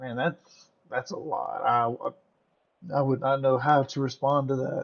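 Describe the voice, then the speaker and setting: A man with an American accent speaks at a fairly slow pace. His fairly high voice carries fairly even intonation. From US South. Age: 30s. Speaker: streamer. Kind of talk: casual chat.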